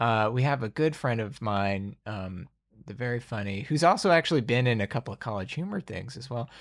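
In an American accent, a normal speaking voice moves at a fairly quick pace with lively intonation and big swings in loudness. The recording is very clean, with a silent background. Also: man, medium pitch for a man. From US South, Alabama. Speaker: podcast host and game master. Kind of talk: game session setup, narrating story lore; casual chat.

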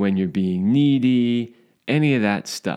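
In an ordinary speaking voice, a man talks at a medium pitch with lively intonation over a quiet background. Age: 50s. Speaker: sex and relationship podcast co-host. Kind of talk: casual chat.

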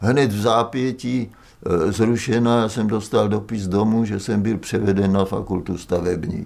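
A man's plain, everyday voice, fairly low in pitch, with fairly even intonation at a fairly slow pace. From central Moravia, Olomouc region. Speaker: architect and university teacher. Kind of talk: oral history testimony.

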